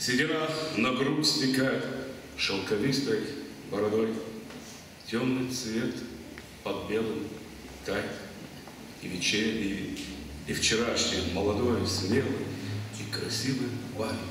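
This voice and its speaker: Over noticeable background noise, a man speaks very slowly at medium pitch. He leaves long, frequent pauses. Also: ordinary pitch variation. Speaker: stage actor. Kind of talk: poetry reading.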